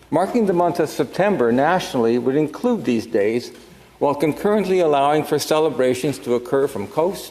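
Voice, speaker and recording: A man with a Canadian accent speaks with lively intonation. Noticeable background noise runs underneath. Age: 70s. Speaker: senator. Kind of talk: formal speech. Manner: formal.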